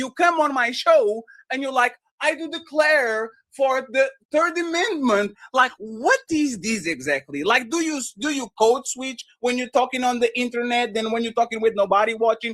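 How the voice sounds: The voice has a fairly bright tone, lively intonation and a moderate pace. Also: man, extremely high pitch for a man.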